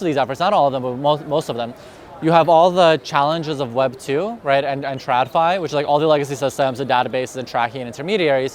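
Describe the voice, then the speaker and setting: Ordinary pitch variation comes through at a very fast pace over noticeable background noise. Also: man. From Russia. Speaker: crypto industry specialist. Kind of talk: conference interview. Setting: crypto conference in Dubai.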